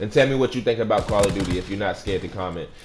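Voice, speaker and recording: A man speaks with an American accent. Noticeable background noise can be heard. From Virginia, US. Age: 30s. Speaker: gaming YouTuber. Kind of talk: game review commentary. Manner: fast; casual, filler-heavy.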